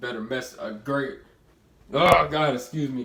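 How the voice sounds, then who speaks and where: A man speaks with audible room echo. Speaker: motivational vlogger. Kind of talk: casual motivational talk to camera. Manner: halting, repeats words.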